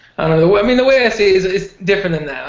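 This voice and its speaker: A man rattles off his words very fast against noticeable background noise. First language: Spanish. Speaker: MMA podcast co-host. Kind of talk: casual chat.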